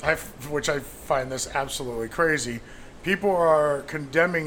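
Speaking at a moderate pace, a man with an unremarkable speaking voice has a fairly high pitch and ordinary pitch variation. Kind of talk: casual banter.

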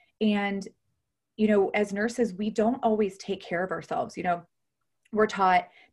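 In a very clean recording with a silent background, a somewhat breathy woman with an American accent and a fairly high pitch talks at a moderate pace with long, frequent pauses. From Ohio, US Midwest. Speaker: nurse and health coach. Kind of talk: interview.

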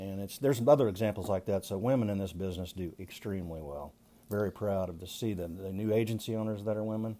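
Speaking very fast with an American accent, a man has a fairly low pitch, a dark, mellow tone, and ordinary pitch variation. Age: 60s. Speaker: retired insurance agency manager. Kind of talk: interview. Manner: halting with many fillers.

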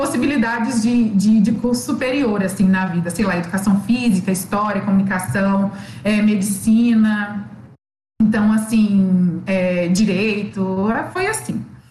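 At a fairly high pitch and fairly slow pace, a woman speaks with ordinary pitch variation amid audible room echo and noticeable background noise. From Minas Gerais, Belo Horizonte. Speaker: obstetrics student. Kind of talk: casual interview.

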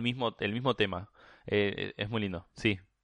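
A man with a Rioplatense accent speaks with fairly even intonation in a dry, close sound with no echo against a quiet background. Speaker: podcast guest. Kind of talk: casual chat. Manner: halting, many fillers.

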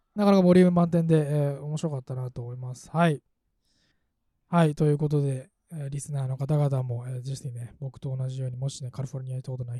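Somewhat breathy and very fast, a man speaks in a dark, mellow tone with ordinary pitch variation. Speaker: podcast host. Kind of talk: casual chat. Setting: remote recording.

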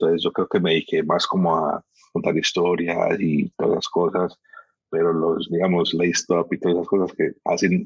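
A man at a fairly slow pace, in a dry, close sound with no echo. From Miami, US (born Barranquilla, Colombia). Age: 30s. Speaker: sneaker youtuber. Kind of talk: casual chat.

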